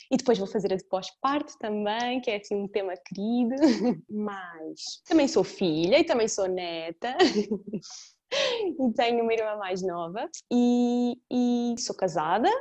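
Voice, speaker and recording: A woman talks at a very slow pace with hardly any pauses, her pitch fairly high and her intonation lively. The background is quiet. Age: 20s. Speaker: podcast co-host, family yoga teacher. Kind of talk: casual chat.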